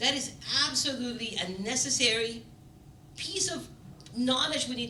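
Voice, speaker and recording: At a moderate pace and with ordinary pitch variation, the speaker is heard over noticeable background noise and audible room echo. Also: woman. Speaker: panel moderator. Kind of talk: panel discussion opening remarks. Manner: loud.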